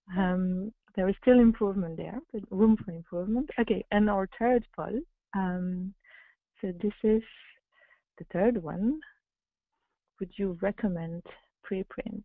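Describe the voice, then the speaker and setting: Against a quiet background, a woman speaks at a fairly slow pace with ordinary pitch variation and long, frequent pauses, the sound dry with no echo. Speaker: webinar moderator. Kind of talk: webinar moderation. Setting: video call. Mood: hesitant, friendly. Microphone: video call.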